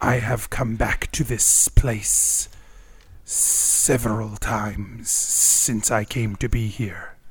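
A man putting on a character voice, medium in pitch and very slow, over light background noise. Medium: actual play. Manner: formal, measured, no contractions.

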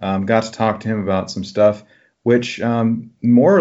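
Speaking at a fairly slow pace, a man uses a medium-pitched voice. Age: 30s. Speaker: podcast host, counselor. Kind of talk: casual chat. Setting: call. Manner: halting, many fillers.

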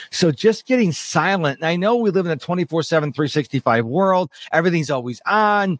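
High-pitched and animated, a man talks with lively intonation at a fairly quick pace and hardly any pauses. The sound is dry and close, with no echo. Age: 50s. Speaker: productivity expert and podcast host. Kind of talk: interview.

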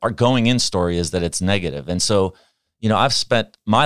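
A man's fairly low voice with an American accent, an unremarkable speaking voice, moderate pace and ordinary pitch variation, in a dry, close sound with no echo on a very clean recording with a silent background. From Pittsburgh, US. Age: 60s. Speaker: organizational behavior expert. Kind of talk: interview.

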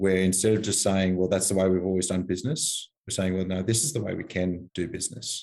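With an Australian accent, a man talks at a fairly quick pace. His very deep, low voice stays monotone and flat. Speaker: army veteran. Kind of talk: interview.

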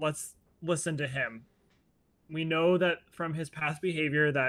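A man with an American accent speaks at a fairly slow pace in a bright, sharp tone. His intonation stays fairly even. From US Midwest, Ohio. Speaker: animal trainer and podcaster. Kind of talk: casual interview.

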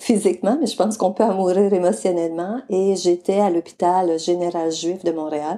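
A woman speaks in a Quebec accent at a medium pitch with a dark, mellow tone. Her pace is moderate and her pitch variation ordinary. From Quebec, Mauricie region. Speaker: charity founder, retired guidance counsellor. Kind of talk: interview.

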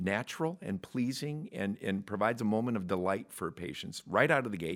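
On a very clean recording with a silent background, a man with an ordinary speaking voice talks at medium pitch and a moderate pace, with lively intonation. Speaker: podcast host. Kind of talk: casual interview chat.

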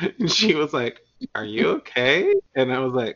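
A man is speaking. He has a Southern US accent. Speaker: podcast host. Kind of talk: casual chat.

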